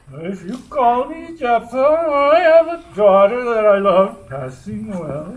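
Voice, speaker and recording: This man uses a put-on character voice with an extremely high pitch. He speaks at a fairly slow pace, with very wide pitch swings and big swings in loudness. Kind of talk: Shakespearean stage verse. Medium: stage play. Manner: pompous, throat-clearing, rambling.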